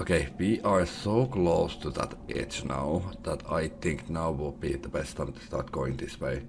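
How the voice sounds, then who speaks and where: A man talks very slowly and quietly in a very deep, low voice with lively intonation. Noticeable background noise runs underneath. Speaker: gaming youtuber. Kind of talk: let's play commentary.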